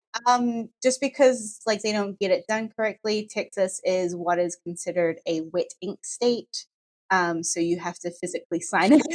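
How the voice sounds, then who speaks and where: Recorded dry and close with no echo, a woman with a New Zealand accent speaks at a medium pitch and moderate pace, with ordinary pitch variation. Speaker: law firm staff member. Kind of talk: casual podcast chat.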